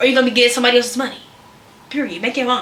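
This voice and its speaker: Loud and animated, a woman speaks at a high pitch amid audible room echo and noticeable background noise. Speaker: content creator / vlogger. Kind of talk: casual advice vlog.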